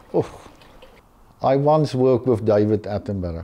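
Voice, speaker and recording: A man with a dark, mellow tone speaks at a medium pitch and a fairly slow pace, with ordinary pitch variation. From South Africa. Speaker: conservation artist. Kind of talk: interview answer.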